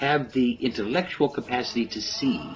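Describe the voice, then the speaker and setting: A man speaks with music playing in the background. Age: 60s. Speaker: political commentator. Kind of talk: political monologue.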